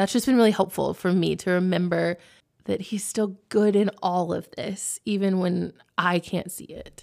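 With an American accent, a woman speaks at a medium pitch and a moderate pace, her intonation fairly even but her loudness swinging widely, on a very clean recording with a silent background. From Texas. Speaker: women's ministry director. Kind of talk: casual chat.

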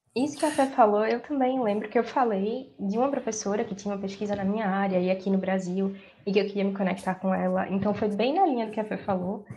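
Barely stopping with hardly any pauses, a woman talks at a very fast pace. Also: medium pitch for a woman, ordinary pitch variation. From Brazil, Recife, Pernambuco. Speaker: law graduate and master's student. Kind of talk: casual chat.

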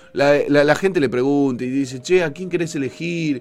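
Music plays in the background. A man speaks with a Rioplatense accent. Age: 40s. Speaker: radio host. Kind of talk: casual chat. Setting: studio. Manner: animated.

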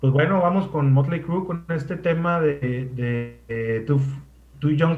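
A man speaks slowly in a somewhat breathy, fairly high voice. Audible room echo surrounds him. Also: ordinary pitch variation. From Mexico, Sonora (Ciudad Obregón). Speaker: radio host, guest. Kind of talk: casual chat.

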